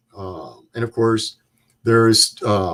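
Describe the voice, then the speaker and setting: A man at a medium pitch and a very slow pace, on a very clean recording with a silent background. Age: 70s. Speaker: Vietnam war veteran. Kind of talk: interview.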